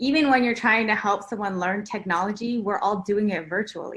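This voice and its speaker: A woman with a normal speaking voice talks at a fairly quick pace, fairly high in pitch and fairly even in intonation. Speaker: math education researcher, former teacher. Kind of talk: panel discussion.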